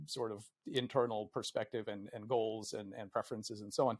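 Against a quiet background, a man speaks at a fairly quick pace. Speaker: guest. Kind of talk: interview answer. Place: home room. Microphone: earbuds.

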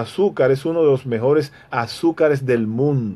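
At a fairly slow pace, a man speaks in a dark, mellow tone. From Dominican Republic, rural Hato Mayor province; Dominican Republic. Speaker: radio commentator. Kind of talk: radio commentary monologue. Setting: radio studio, also streamed live on Facebook. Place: office. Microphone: phone near.

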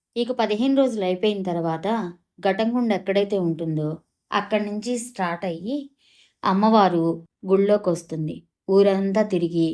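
A woman's medium-pitched voice, dark and mellow in tone, with ordinary pitch variation in a very clean recording over a silent background. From Andhra Pradesh, Kollipara near Guntur. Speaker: vlogger. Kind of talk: travel vlog narration.

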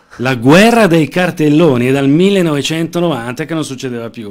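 Against a quiet background, a man with a fairly high pitch talks with lively intonation. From Lombardy, Lecco; Lombardy. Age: 40s. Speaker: political candidate; candidate. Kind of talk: interview. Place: studio. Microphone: studio mic.

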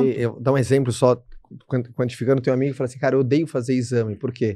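A man with a Brazilian accent talks at a very fast pace and medium pitch. His tone is dark and mellow, and the sound is dry with no echo. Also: quiet background. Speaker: podcast host. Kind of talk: casual interview chat. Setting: studio. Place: studio. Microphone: studio mic.

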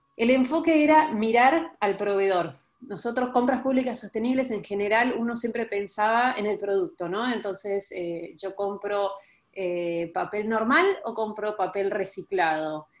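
A woman with an Argentine accent speaks at a fairly slow pace, her fairly high pitch carried by lively intonation. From Argentina. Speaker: sustainable development researcher; panelist. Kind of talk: online panel presentation. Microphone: video call.

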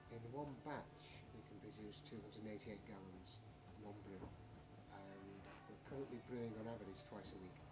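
Over loud background music, a man speaks at a fairly quick pace with ordinary pitch variation. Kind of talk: interview answer. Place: office. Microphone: camera far.

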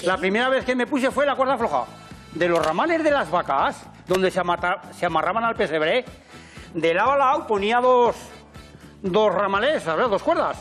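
With faint music in the background, a man speaks at a moderate pace and a high pitch, using very wide pitch swings, very even loudness and long, frequent pauses. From Aragon, Spain. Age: 80s+. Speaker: farmer and balancing performer. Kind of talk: casual talk in interview. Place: garage. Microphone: lapel.

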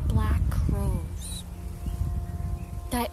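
Over loud background noise, a woman speaks at a very slow pace in a dry recording with no echo. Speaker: poetry reciter. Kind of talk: poetry reading. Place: forest. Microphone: phone near.

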